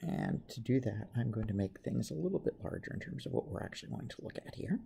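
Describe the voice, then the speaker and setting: The speaker is soft-spoken. The pace is very fast. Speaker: chemistry teacher. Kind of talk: tutorial. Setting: semi-public place. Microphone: may be too quiet to pick up.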